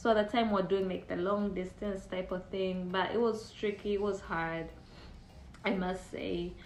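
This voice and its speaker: Audible room echo surrounds a woman speaking at a medium pitch. She goes at a fairly slow pace. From Uganda. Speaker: immigrant sharing dating experience. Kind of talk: casual testimony.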